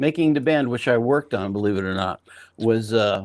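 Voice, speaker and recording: A man speaks fairly slowly at medium pitch with ordinary pitch variation. The recording is very clean, with a silent background. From outside the US. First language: not English. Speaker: podcast host, TV producer. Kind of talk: casual chat. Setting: live stream.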